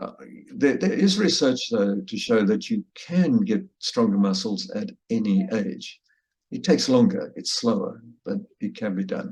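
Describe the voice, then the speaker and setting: A man with vocal fry speaks at a fairly high pitch and a fairly slow pace. His pitch swings very widely. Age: 70s. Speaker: lecturer. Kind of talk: lecture. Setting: video call. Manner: halting.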